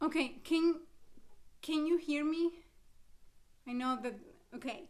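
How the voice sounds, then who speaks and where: Loud and fairly slow, a woman talks in an Argentine accent. Her pitch is high and her intonation fairly even. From Argentina, Buenos Aires. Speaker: cantor and music presenter. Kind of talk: lecture. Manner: loud, projecting.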